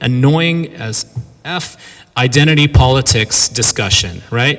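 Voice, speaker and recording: An animated male voice in a Californian accent, fairly high in pitch with lively intonation. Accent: Californian American. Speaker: professor giving a lecture. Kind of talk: lecture. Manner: fast.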